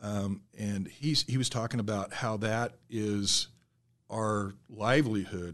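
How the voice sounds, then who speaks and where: Against a quiet background, a man speaks at a fairly low pitch with a Midwestern US accent. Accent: US Midwest. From south central Nebraska. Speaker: safety manager. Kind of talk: casual interview.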